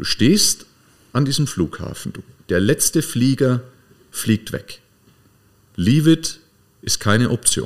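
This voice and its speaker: Very slow and broken by long, frequent pauses, a man's medium-pitched speech has lively intonation. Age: 40s. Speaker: podcast host, coach. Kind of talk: casual chat.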